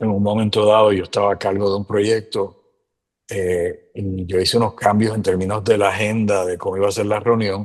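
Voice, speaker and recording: A man with a Puerto Rican accent speaks at a moderate pace in a monotone, flat intonation. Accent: Puerto Rican accent when speaking English. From Puerto Rico. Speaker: immigrant sharing experiences. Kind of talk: casual interview chat.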